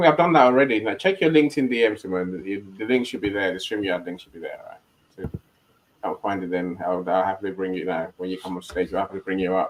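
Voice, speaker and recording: A man talks at a very fast pace with a South London accent. His pitch is fairly low, with ordinary pitch variation. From Nigeria. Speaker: live stream host. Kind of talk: casual panel discussion. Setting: online live stream. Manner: halting, many repetitions.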